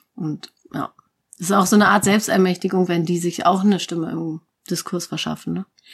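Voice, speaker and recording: The woman's voice carries vocal fry and a monotone, flat intonation. The sound is dry and close, without echo. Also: medium pitch for a woman, fairly quick pace. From Hamburg. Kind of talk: casual chat.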